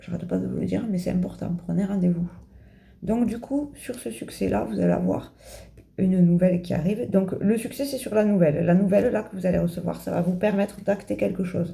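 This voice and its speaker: Pausing often and at length, a woman speaks at a medium pitch with vocal fry and a dark, mellow tone. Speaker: tarot card reader. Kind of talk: card reading for viewers. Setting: home video, in pyjamas. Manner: fast.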